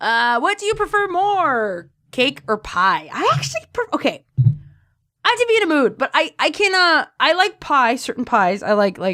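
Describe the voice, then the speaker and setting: A woman's raised, projected voice, high-pitched with a bright, sharp tone, very wide pitch swings and a moderate pace. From Mexican-American, US West Coast. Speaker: fanfiction narrator and voice actor. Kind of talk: casual Q&A monologue. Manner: animated, halting with fillers.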